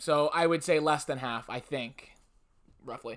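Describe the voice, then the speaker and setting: On a very clean recording with a silent background, a man with an unremarkable speaking voice talks at a moderate pace and fairly high pitch. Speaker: podcast host. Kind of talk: casual chat.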